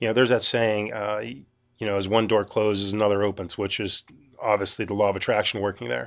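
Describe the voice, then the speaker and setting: A fairly low-pitched man with a Western Pennsylvania accent, fairly quick, with ordinary pitch variation and a quiet background. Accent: Western Pennsylvania American. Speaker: podcast host. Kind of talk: solo monologue. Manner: casual, halting with fillers.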